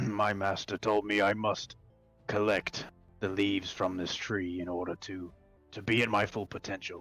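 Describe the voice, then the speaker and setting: A man does a raspy, put-on character voice, fairly low in pitch with monotone, flat intonation. He speaks at a moderate pace over faint music in the background. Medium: actual play.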